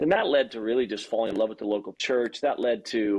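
At a fairly quick pace, a man speaks in a plain, everyday voice with a fairly low pitch. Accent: American. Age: 40s. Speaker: pastor. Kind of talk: podcast interview.

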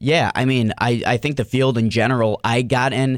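In a very clean recording with a silent background, a man of medium pitch with an American accent has a plain, everyday voice. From US Midwest, Cleveland, Ohio. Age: 30s. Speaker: mental performance coach, former wrestler. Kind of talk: casual interview chat.

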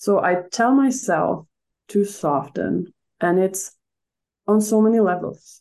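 The voice has a dark, mellow, calm tone and very even loudness, with ordinary pitch variation. It moves at a very slow pace with long, frequent pauses. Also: woman, medium pitch for a woman. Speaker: emotional wellness coach. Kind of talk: interview.

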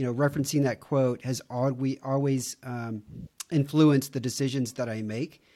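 Speaking in a Texan accent, a man with a dark, mellow tone and medium pitch talks at a fairly slow pace with fairly even intonation. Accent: Texan American. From Texas, Houston. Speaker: marketing professional. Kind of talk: casual interview.

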